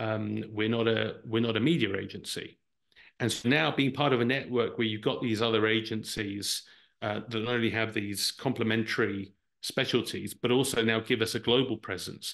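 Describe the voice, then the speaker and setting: A man speaks with an English accent at a medium pitch and a moderate pace. His intonation stays fairly even against a quiet background. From Brazil. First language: Portuguese. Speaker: marketing executive. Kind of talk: interview answer.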